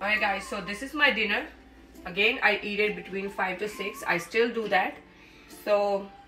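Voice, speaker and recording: A woman is heard with audible room echo and faint music in the background. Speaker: home cooking vlogger. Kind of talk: casual vlog chat. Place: kitchen. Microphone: camera far.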